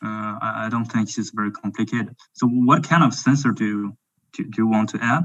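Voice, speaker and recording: A man speaks with a French accent at a fairly quick pace. His pitch is medium, with ordinary variation. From France. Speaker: drone company representative. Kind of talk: webinar Q&A. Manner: halting.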